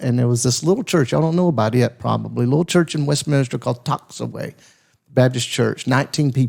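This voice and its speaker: Using ordinary pitch variation, a man with a Southern US accent speaks in a dark, mellow tone at a fairly high pitch. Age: 60s. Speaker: pastor. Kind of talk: casual chat.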